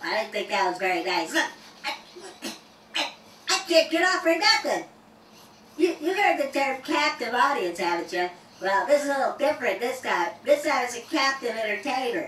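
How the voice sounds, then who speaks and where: A cartoonish character voice from a female-sounding speaker, high-pitched, with very wide pitch swings, a moderate pace, long and frequent pauses, and a slight echo. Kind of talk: comedy stand-up routine. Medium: puppet. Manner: stammering, goofy.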